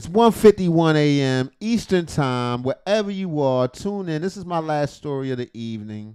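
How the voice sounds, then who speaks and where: At a moderate pace with hardly any pauses, a man with a fairly high pitch and a dark, mellow tone uses lively intonation and big swings in loudness. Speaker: reaction streamer. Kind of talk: casual late-night reaction commentary.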